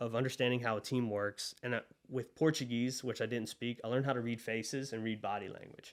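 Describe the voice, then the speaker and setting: A man talks at a very fast pace. His medium-pitched voice stays flat and monotone. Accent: Southern US. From US South (Monroe, Louisiana). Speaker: agency co-founder. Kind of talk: podcast interview.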